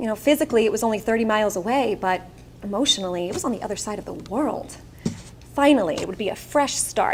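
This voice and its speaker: In a Long Island accent, a woman with a fairly high pitch speaks very fast with lively intonation. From Long Island, New York. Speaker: keynote speaker. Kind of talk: keynote speech. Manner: animated.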